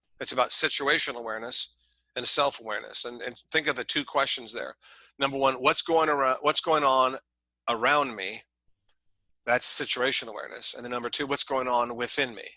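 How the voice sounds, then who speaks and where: Against a quiet background, a man with a Midwestern American accent talks at a fairly quick pace in a bright, sharp tone, his intonation fairly even and his loudness swinging widely. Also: medium pitch for a man. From Ohio, Columbus area. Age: 60s. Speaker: leadership coach. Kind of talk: podcast interview.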